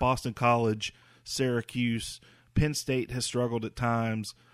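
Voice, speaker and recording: A man with an ordinary speaking voice and an American accent talks at a moderate pace and medium pitch, dry and close with no echo on a very clean recording with a silent background. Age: 40s. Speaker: podcast host. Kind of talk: casual sports talk.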